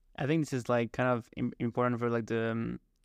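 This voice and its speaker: With a French accent, a man speaks at a fairly quick pace and medium pitch in a monotone, flat intonation, the sound dry and close with no echo against a quiet background. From France. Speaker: podcast host. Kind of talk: interview. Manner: halting.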